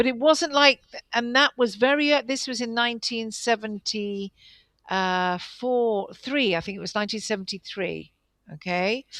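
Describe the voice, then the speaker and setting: A woman's fairly high voice with a southern English accent, ordinary pitch variation and a moderate pace, on a very clean recording with a silent background. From England. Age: 60s. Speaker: guest interviewee. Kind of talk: interview. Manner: halting.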